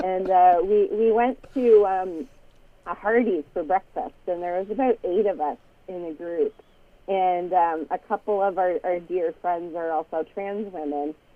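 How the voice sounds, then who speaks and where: At a fairly slow pace, a woman with a Canadian accent uses an ordinary speaking voice of medium pitch and ordinary pitch variation. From Canada. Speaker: atheist podcast host. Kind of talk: casual chat.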